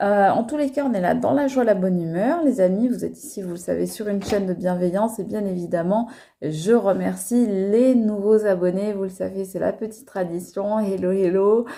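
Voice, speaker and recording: This woman has a medium pitch, a dark, mellow tone and ordinary pitch variation. She talks at a moderate pace with hardly any pauses. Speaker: tarot card reader. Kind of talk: tarot reading video. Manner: hesitant, many fillers.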